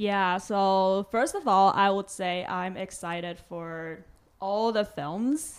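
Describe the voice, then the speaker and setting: Speaking very slowly, a woman uses a medium pitch with ordinary variation. The recording is very clean, with a silent background. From Taiwan, Taipei. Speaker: film festival curator. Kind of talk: podcast interview.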